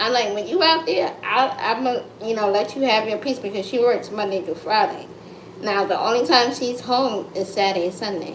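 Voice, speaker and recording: A woman with an American accent talks at a moderate pace in a fairly high voice with ordinary pitch variation. Audible room echo and noticeable background noise surround her. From United States. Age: 30s. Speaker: content creator livestreamer. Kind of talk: casual livestream chat. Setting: live stream at home. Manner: loud; animated.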